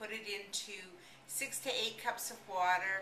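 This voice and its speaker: Over noticeable background noise, a woman speaks fairly slowly at a medium pitch with ordinary pitch variation. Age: 60s. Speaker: product promoter. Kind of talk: sales pitch. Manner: enthusiastic. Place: home room. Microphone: webcam.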